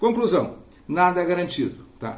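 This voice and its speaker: Audible room echo hangs around this voice. The speaker is a man. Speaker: finance educator. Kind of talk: tutorial. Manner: fast; hesitant, with fillers.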